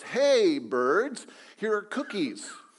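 Loud and shouting, a put-on character voice rings out at a fairly high pitch. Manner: loud shout.

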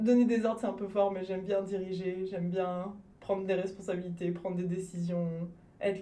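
With monotone, flat intonation and a dark, mellow tone, the voice moves at a moderate pace through long, frequent pauses, with audible room echo. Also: woman. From France. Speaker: television director and filmmaker. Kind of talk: interview conversation.

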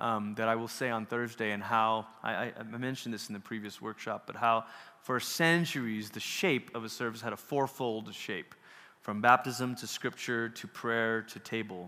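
A man talks at a moderate pace in a medium pitch. His bright, sharp tone comes with big swings in loudness. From Malaysia. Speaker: workshop speaker on worship. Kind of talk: workshop talk. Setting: stage with audience.

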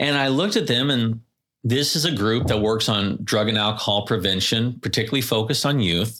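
A man with a Californian accent speaks fairly quickly at medium pitch, with ordinary pitch variation and very even loudness, in a very clean recording with a silent background. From Southern California (Carlsbad, Oceanside). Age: 40s. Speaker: hospital executive. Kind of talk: interview.

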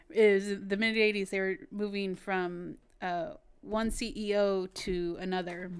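At a fairly slow pace, a woman with a plain, everyday voice speaks at medium pitch with ordinary pitch variation. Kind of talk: casual chat.

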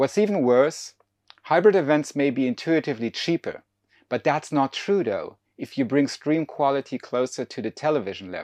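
A man with a German accent speaks at a fairly high pitch with lively intonation and a moderate pace. The sound is dry and close with no echo, over a quiet background. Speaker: podcast host and keynote speaker, event professor. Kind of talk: keynote presentation.

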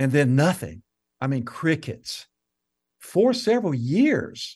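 In an American accent, a man speaks at a fairly slow pace against a quiet background. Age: 60s. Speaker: counselor and author. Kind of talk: casual interview.

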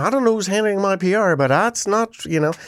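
A man's high-pitched voice with lively intonation at a fairly quick pace, on a very clean recording with a silent background. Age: 50s. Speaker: radio host and video producer. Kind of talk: casual chat.

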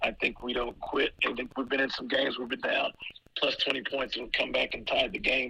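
This man's speech comes at a fairly quick pace against noticeable background noise. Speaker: college basketball head coach. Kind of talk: radio interview. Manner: filler-heavy, conversational.

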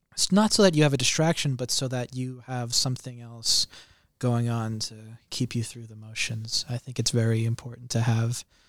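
A man has a normal speaking voice, medium in pitch with ordinary variation, at a moderate pace. The sound is dry and close with no echo, in a very clean recording with a silent background. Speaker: culture editor. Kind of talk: casual chat.

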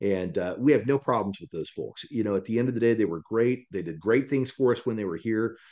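An ordinary speaking voice from a man, medium in pitch with ordinary pitch variation, at a fairly quick pace with hardly any pauses. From Kansas. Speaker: mortgage company leader. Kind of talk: podcast interview.

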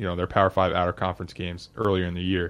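The background stays quiet. This man's pace is very fast. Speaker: radio host. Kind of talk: casual sports talk show.

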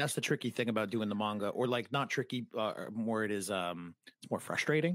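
A man with an American accent and an ordinary speaking voice talks at a fairly quick pace in a medium pitch with ordinary pitch variation, recorded very cleanly against a silent background with a dry, close sound and no echo. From New England, US (Massachusetts / Rhode Island). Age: 30s. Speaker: podcaster. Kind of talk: casual interview chat.

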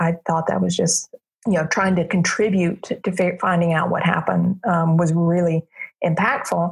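In a fairly low pitch, a woman speaks at a fairly quick pace with monotone, flat intonation and a somewhat breathy voice. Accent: American. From US South, Alabama (Montgomery). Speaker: aerospace project manager. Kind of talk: interview. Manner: hesitant, many fillers.

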